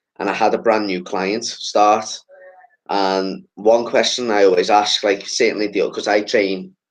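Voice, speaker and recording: A man with a Liverpool accent. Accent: Scouse. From Liverpool, England. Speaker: podcast host. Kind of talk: casual chat.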